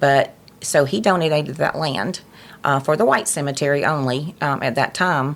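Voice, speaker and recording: A woman's very deep, low voice with a Southern US accent, ordinary pitch variation and a moderate pace. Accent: Southern US (Georgia). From US South, Georgia. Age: 60s. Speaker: nonprofit president. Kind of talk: interview. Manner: halting, many fillers.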